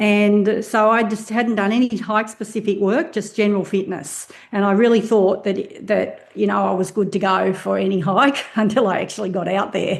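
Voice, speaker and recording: The speaker has an Australian accent and fairly even intonation. The pace is moderate, with hardly any pauses. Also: woman, medium pitch for a woman. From Australia, Hawkesbury Valley west of Sydney. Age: 60s. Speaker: semi-retired nutritionist, hiker. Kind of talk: podcast interview.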